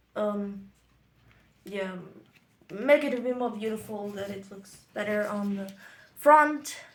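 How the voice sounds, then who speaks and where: Speaking very slowly with long, frequent pauses, a woman at a medium pitch shows ordinary pitch variation and big swings in loudness, with audible room echo around her. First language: German. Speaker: interpreter for craft tutorial. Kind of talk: casual bilingual tutorial commentary. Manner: casual, playful.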